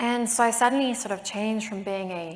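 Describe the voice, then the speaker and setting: The voice has a South African accent and fairly even intonation. It moves at a fairly quick pace over noticeable background noise. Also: woman. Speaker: patient advocate. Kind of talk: panel discussion.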